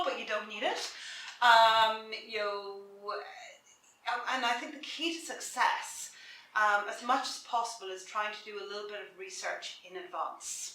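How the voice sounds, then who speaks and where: A woman with an Irish accent, fairly high in pitch, with a bright, sharp tone, ordinary pitch variation, a moderate pace and audible room echo. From south of Ireland. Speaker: career coach. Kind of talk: interview.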